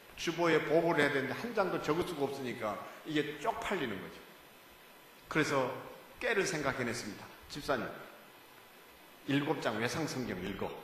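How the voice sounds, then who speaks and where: A man's fairly high-pitched voice with very wide pitch swings, a moderate pace and long, frequent pauses, amid noticeable background noise and audible room echo. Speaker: guest preacher. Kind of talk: sermon. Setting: church. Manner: animated.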